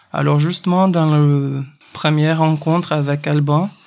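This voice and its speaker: A man with a Portuguese accent speaks in a fairly high pitch with monotone, flat intonation. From Brazil, Recife. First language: Portuguese (speaking French). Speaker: circus artist. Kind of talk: interview.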